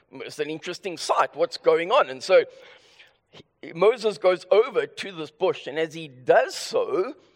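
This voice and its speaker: A man with a high-pitched voice speaks with lively intonation and big swings in loudness. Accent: South African. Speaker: preacher. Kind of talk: sermon. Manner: deliberately slower; halting, with stammered restarts.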